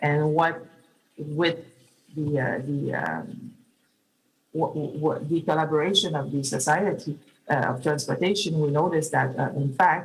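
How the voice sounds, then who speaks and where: A woman's very deep, low voice, somewhat breathy, with fairly even intonation at a moderate pace. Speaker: public oversight official. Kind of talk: conference talk. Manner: halting, many fillers.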